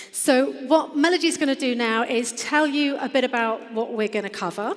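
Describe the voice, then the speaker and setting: Here a woman speaks at a high pitch. Background noise is noticeable. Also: ordinary pitch variation, moderate pace. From England. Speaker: business founder. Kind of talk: conference presentation. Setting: stage with audience.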